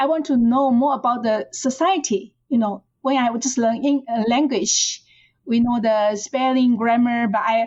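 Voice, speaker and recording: At a moderate pace, a woman with a Chinese accent speaks in a high voice, with ordinary pitch variation and very even loudness. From China, rural Fujian. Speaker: professor. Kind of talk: interview. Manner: halting, with repetitions.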